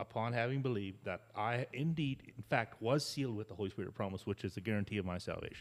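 A man's normal speaking voice, a normal speaking voice of fairly low pitch with ordinary pitch variation, on a very clean recording with a silent background. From Canada. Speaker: pastor. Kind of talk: casual chat.

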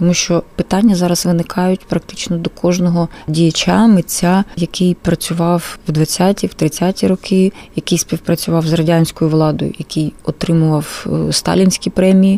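A woman with a Russian accent speaks at a fairly slow pace and a fairly low pitch in a flat monotone. The sound is dry and close, with no echo. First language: Russian (speaking Ukrainian). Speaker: film archive director. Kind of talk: radio interview.

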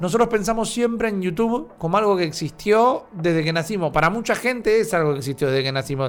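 Lively in intonation and high in pitch, a man rattles along at a very fast pace with hardly any pauses. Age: 30s. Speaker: podcast host. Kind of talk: casual chat.

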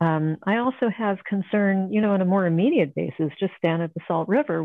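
A woman with an American accent talks at a fairly quick pace in a medium pitch, with ordinary pitch variation. Hers is a normal speaking voice. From Ohio, US Midwest. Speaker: painter and art instructor. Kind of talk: casual interview.

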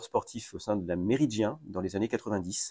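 In a very clean recording with a silent background, a man with a fairly low pitch and a dark, mellow tone is heard in dry, close sound with no echo. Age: 50s. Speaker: mayor. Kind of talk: interview. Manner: halting.

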